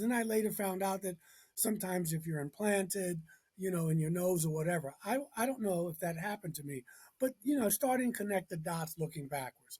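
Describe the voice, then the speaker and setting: With an American accent, a man talks at a fairly quick pace in a high voice with lively intonation. His tone is dark and mellow. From Baltimore, US. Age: 60s. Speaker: minister and author. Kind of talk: interview, personal story. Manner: animated.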